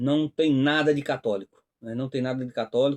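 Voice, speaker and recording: At a moderate pace, a man with a northeastern Brazilian accent talks at a fairly high pitch over a quiet background. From Northeast Brazil. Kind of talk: religious commentary talk. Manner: hesitant, frequent fillers.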